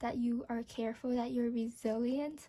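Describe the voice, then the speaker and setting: A woman's high yet dark, mellow voice with monotone, flat intonation. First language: not English. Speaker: tarot reader. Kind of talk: tarot reading to camera. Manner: hesitant, with fillers.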